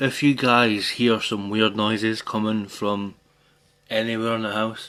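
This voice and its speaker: Speaking at a fairly slow pace, a man at medium pitch has a bright, sharp tone and monotone, flat intonation. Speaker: gaming streamer. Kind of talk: casual live stream chat. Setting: at home, bathroom.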